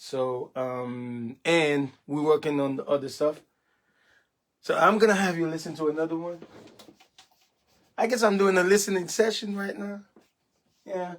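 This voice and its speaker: With a Haitian accent, this speaker uses lively intonation and leaves long, frequent pauses. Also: man, high pitch for a man, moderate pace. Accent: Haitian Creole. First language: Haitian Creole. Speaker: gospel musician. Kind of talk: casual livestream chat. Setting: home studio. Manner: halting, many fillers.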